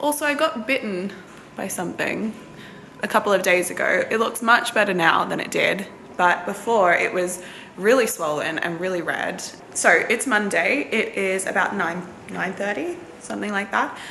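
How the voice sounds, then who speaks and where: Against noticeable background noise and audible room echo, a woman talks at a medium pitch with an Australian accent. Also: moderate pace. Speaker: nursing student vlogger. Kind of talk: casual vlog.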